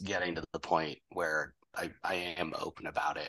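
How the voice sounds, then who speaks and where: A man with an American accent speaks at a moderate pace. His tone is bright and sharp. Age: 20s. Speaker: blind game developer and Marine veteran. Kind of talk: casual interview.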